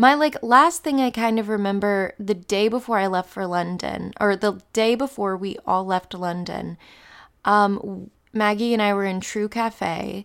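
The recording is very clean with a silent background. A woman with a normal speaking voice talks at a fairly slow pace and medium pitch, with ordinary pitch variation. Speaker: podcast host. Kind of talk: podcast intro and outro monologue.

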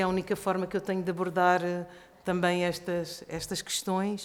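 At a moderate pace, a woman talks at a medium pitch with monotone, flat intonation. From Portugal. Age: 50s. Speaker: actress and stage director. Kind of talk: panel discussion.

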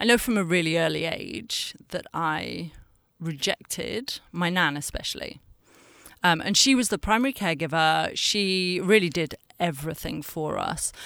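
A woman speaks in a northern English accent with vocal fry and a fairly low pitch. Her intonation is lively and her pace moderate, in a very clean recording with a silent background. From northern England. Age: 40s. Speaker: communications director. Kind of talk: personal interview, testimony.

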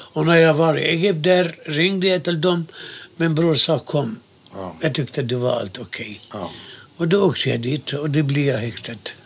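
A fairly high male voice with lively intonation at a moderate pace, against noticeable background noise. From Gaza, Palestine. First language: Arabic (speaking Swedish). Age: 70s. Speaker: interviewee, Palestinian emigrant. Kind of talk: oral history interview.

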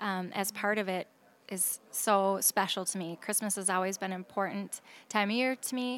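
The speaker, with an Upper Midwest accent, keeps a moderate pace and fairly even intonation in a very clean recording with a silent background. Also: woman. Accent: Upper Midwest American. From Minnesota, Saint Paul. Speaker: singer. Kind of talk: casual chat. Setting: restaurant bar.

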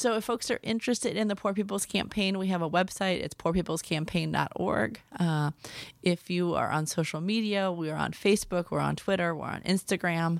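A woman with an American accent and a fairly low pitch speaks at a fairly quick pace in a normal speaking voice. Her pitch variation is ordinary, and the recording is very clean with a silent background. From US Midwest, Milwaukee, Wisconsin. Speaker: pastor and activist. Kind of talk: interview.

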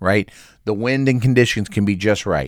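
The recording is very clean, with a silent background, and a man speaks at a fairly slow pace with an American accent. His fairly low voice carries lively intonation and an animated tone. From Oklahoma. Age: 40s. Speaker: podcast host. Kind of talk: solo monologue.

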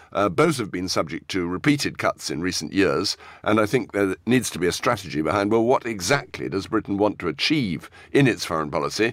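A man with a fairly low pitch talks at a fairly quick pace, his pitch swinging very widely. The recording is very clean, with a silent background. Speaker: foreign affairs journalist. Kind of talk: news discussion.

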